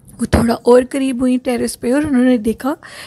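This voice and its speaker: The intonation stays monotone and flat. The sound is dry and close with no echo, over noticeable background noise. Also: woman. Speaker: horror story podcast host. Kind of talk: storytelling. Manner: not very loud.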